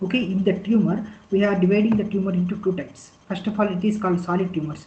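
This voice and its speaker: Very fast speech in an Indian accent, monotone and flat in intonation, with audible room echo. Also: man. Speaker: clinical data specialist. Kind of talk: lecture. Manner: halting.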